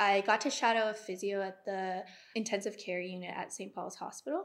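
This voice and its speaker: Over a silent background in a very clean recording, a woman with a Canadian accent speaks at a medium pitch with ordinary pitch variation. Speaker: kinesiology graduate, physiotherapy student. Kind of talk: casual interview.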